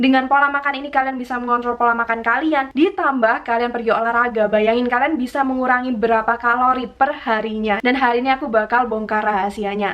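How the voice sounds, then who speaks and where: A woman speaks in a high voice at a very fast clip, hardly pausing, her intonation fairly even, with music playing in the background. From Malang, Indonesia. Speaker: fitness and diet vlogger. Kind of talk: casual talk to camera.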